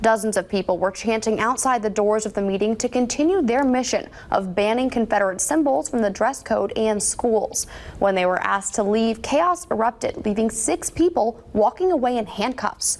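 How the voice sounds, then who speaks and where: A woman's fairly high, a normal speaking voice, with lively intonation, a moderate pace and very even loudness. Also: hardly any pauses. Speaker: news anchor. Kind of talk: TV news anchoring.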